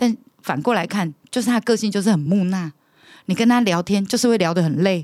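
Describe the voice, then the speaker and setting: A woman speaks in a normal speaking voice at medium pitch and a fairly quick pace. The recording is very clean with a silent background, and the sound is dry and close with no echo. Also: ordinary pitch variation. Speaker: bar hostess manager. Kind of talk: casual chat.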